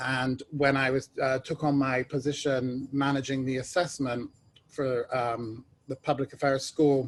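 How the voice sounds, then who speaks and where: A medium-pitched man with a British accent and monotone, flat intonation. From England (London). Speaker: ed tech executive, alumni panelist. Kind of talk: panel discussion.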